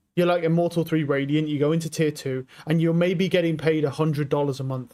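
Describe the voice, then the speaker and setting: Speech comes at a fairly quick pace. Pitch variation is ordinary. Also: man. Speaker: streamer. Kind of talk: casual chat. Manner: loud; animated.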